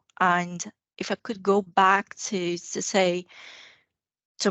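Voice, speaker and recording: A woman speaks with a non-native accent. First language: not English. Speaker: guest. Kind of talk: casual chat.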